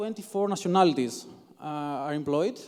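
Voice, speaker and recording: With a non-native accent, a man speaks at a moderate pace using lively intonation. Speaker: software developer, conference speaker. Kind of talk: conference talk. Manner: halting.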